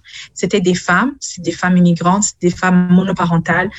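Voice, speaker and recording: Over music in the background, a woman talks at a moderate pace with a medium pitch. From Burundi. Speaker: city councillor. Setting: video call from home.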